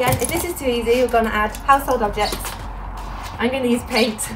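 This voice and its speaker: Talking at a fairly quick pace with ordinary pitch variation, a woman is heard over noticeable background noise. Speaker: athlete demonstrating exercises. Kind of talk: tutorial.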